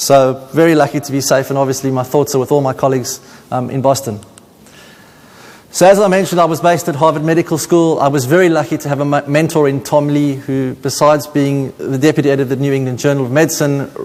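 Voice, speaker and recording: The voice rushes at a very fast pace with fairly even intonation over noticeable background noise. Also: man, fairly high pitch for a man. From South Africa, Cape Town. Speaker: paediatrician. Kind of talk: conference talk.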